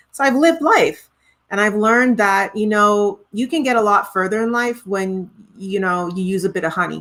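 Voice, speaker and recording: A woman's medium-pitched voice with a Trinidadian accent. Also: ordinary pitch variation, moderate pace. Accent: Trinidadian, noticeable. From Montreal, Quebec, Canada (born in Trinidad). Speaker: singer-songwriter. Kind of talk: interview conversation.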